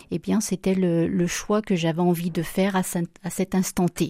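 A woman's dark, mellow voice at a medium pitch comes at a fairly slow pace with monotone, flat intonation, in a dry, close sound with no echo. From France, Loire (Saint-Étienne). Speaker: home care agency director. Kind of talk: radio interview.

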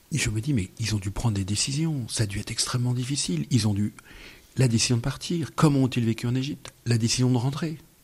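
The voice is a man's and somewhat breathy. He speaks very fast. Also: medium pitch for a man, ordinary pitch variation. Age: 50s. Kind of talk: radio interview. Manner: halting.

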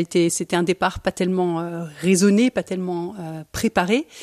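The sound is dry and close, without echo. A woman talks with a fairly low pitch and ordinary pitch variation. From Belgium. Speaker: architect, cellist and travel writer. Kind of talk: interview. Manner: hesitant, many fillers.

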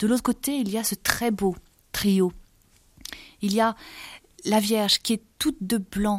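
A woman is speaking. Her pitch sits at a medium level. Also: very clean recording, silent background. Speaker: art book author. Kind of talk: art commentary interview. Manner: halting; animated.

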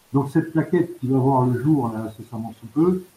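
A man speaks with a dark, mellow tone and is somewhat breathy. His pitch varies in an ordinary way. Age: 60s. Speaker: volunteer, retired banker. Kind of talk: radio interview. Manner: halting.

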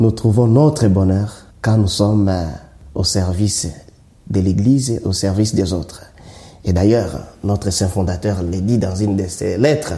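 A man with a Congolese accent, fairly low in pitch with ordinary pitch variation, at a fairly slow pace with long, frequent pauses, in audible room echo. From DR Congo, South Kivu. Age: 40s. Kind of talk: interview. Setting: church.

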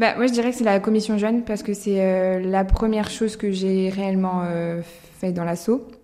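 Delivered at a moderate pace, an unremarkable speaking voice carries fairly even intonation. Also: woman, medium pitch for a woman. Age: 20s. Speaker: law student and association volunteer. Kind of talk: recorded interview.

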